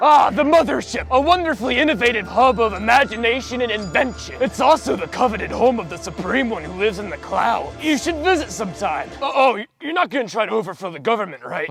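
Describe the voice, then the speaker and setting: A man's put-on character voice, extremely high-pitched, at a very fast pace with hardly any pauses, clear music in the background. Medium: audio drama. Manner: rambling, flippant.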